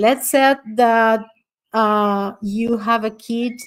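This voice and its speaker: A woman with a non-native accent speaks at a very slow pace. Her fairly high voice stays monotone and flat. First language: not English. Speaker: astrologer and summit speaker. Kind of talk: online talk with audience Q&A. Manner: halting.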